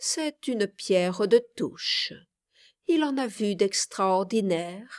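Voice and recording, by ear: Lively intonation while reading aloud in a natural voice, against a quiet background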